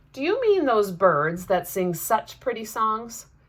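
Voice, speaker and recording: A female-sounding, put-on character voice comes across raised and projected, fairly high in pitch and at a fairly slow pace. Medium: read story. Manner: loud, hearty.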